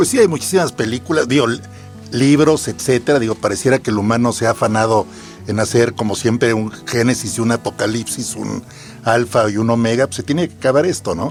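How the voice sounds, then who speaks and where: Over music in the background, a man talks at a fairly quick pace with medium pitch. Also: ordinary pitch variation. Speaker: content producer, guest. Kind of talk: podcast conversation. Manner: joking, casual.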